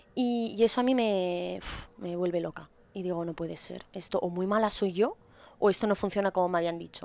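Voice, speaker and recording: The sound is dry, with no echo. A woman speaks at a moderate pace with ordinary pitch variation. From Spain, Asturias. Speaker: podcast guest. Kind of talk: casual interview. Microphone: headset.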